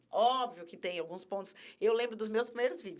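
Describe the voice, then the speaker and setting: A woman speaks in an energetic tone at a fairly quick pace with ordinary pitch variation. Background noise is noticeable. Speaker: communication trainer, company co-founder. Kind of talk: podcast interview. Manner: energetic, expressive.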